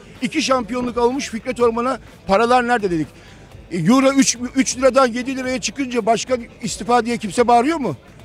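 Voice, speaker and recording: A man speaks at a fairly quick pace in an extremely high pitch with ordinary pitch variation. Noticeable background noise runs behind him. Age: 50s. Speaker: football fan. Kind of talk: street interview. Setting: outdoors. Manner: animated.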